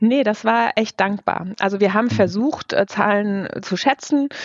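Someone speaks at a moderate pace in a normal speaking voice. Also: woman. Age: 40s. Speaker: head of a corporate digital innovation unit. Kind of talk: interview.

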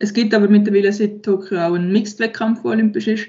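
A woman of medium pitch speaks at a moderate pace, sounding somewhat breathy. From Switzerland, Aargau. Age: 20s. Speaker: professional sport shooter. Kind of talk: interview.

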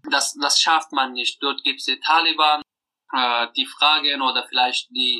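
Recorded dry and close with no echo, a man talks at a fairly slow pace. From Afghanistan. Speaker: deported refugee. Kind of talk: interview testimony. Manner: halting, many hesitations.

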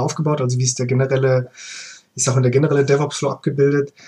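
A man's fairly high, somewhat breathy voice. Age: 30s. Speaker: freelance DevOps engineer. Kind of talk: casual chat.

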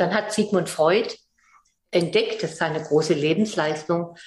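Ordinary pitch variation runs through a somewhat breathy voice. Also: woman. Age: 70s. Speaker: psychologist and philanthropist. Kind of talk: interview.

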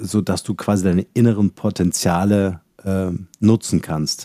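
The sound is dry and close, with no echo. A man speaks at a moderate pace, fairly low in pitch, with fairly even intonation. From Halle, eastern Germany. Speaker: company founder and podcast host. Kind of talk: interview. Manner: hesitant fillers.

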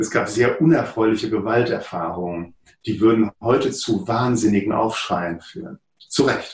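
The speaker talks at a moderate pace with a somewhat breathy quality. The intonation is lively. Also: man, medium pitch for a man. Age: 50s. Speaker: psychotherapist and author. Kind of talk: interview.

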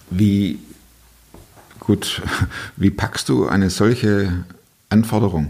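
Speaking very slowly with long, frequent pauses, a man with a slight Swabian accent uses a fairly low pitch and ordinary pitch variation. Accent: light Swabian. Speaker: podcast host. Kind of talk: interview conversation.

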